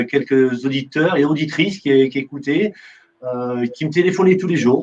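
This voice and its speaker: Speech moves at a moderate speed. The pitch shifts in an ordinary way. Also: man, fairly high pitch for a man. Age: 50s. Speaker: radio host. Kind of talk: interview. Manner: halting, many fillers and repetitions; conversational, unformal.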